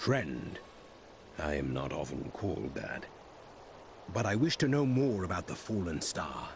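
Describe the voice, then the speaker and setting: A put-on character voice from a man, very deep and low, calm in tone, with very wide pitch swings, long, frequent pauses and clear background noise. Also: moderate pace. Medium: video game. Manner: calm, measured, grave.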